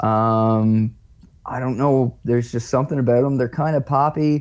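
A man with a normal speaking voice talks at medium pitch and a fairly slow pace. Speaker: local musician. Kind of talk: casual interview.

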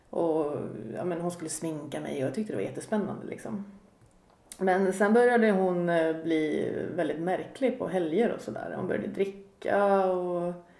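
In a room with audible echo, a woman speaks at a fairly low pitch and moderate pace with lively intonation. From Sweden, Katrineholm. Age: 40s. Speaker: podcast guest sharing recovery story. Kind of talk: personal testimony in casual interview. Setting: home kitchen.

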